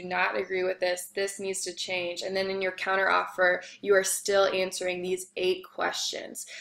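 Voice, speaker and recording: Moderate pace from a woman speaker. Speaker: instructor. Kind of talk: lecture. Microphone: webcam.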